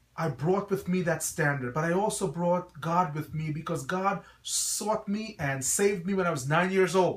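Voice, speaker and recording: Here a man speaks at a moderate pace in a high pitch, with ordinary pitch variation. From Guyana, then New York City (Brooklyn). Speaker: pastor and school principal. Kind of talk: promotional address to parents. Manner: earnest, preacher-like.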